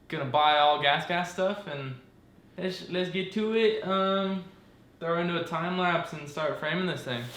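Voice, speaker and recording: A man talks at a fairly slow pace, his pitch high for a man. Audible room echo surrounds the recording. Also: ordinary pitch variation. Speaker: dirt bike hobbyist mechanic. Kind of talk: casual vlog tutorial. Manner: halting, many fillers.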